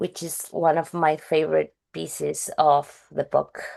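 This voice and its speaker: Against a quiet background, a woman speaks in a fairly low pitch. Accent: strong Spanish. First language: Spanish. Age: 30s. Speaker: novelist. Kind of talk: interview. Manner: halting.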